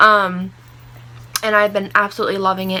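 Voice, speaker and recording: Her pitch is medium for a woman. She moves at a fairly quick pace. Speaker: beauty vlogger. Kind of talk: casual chat. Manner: fast; animated.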